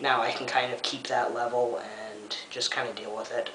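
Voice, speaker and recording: Noticeable background noise and audible room echo accompany speech delivered at a moderate pace. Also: man. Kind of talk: vlog update. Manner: relaxed, hesitant with frequent ums.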